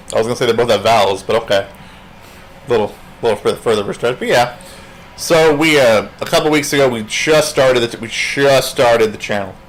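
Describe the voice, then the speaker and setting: Over noticeable background noise, a man with a medium pitch talks at a fairly quick pace with ordinary pitch variation. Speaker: comedian and paranormal video show host. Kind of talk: casual chat.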